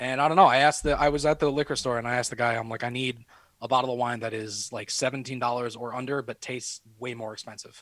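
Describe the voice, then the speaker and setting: Very fast and with big swings in loudness, a man speaks at a medium pitch with fairly even intonation. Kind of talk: casual chat, swearing freely. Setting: video call from home. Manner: relaxed, rambling, conversational.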